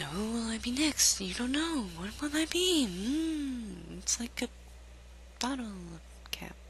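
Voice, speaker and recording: A put-on character voice comes through at a rather high pitch. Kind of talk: comic overacting. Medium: game stream. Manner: theatrical, mock-grand.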